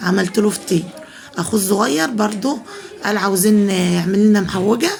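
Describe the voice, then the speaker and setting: A soft-spoken woman with an Egyptian accent, medium pitch, ordinary pitch variation, very even loudness and a moderate pace, with noticeable background noise. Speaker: home cooking vlogger. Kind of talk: cooking tutorial. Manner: soft-spoken, lowered voice.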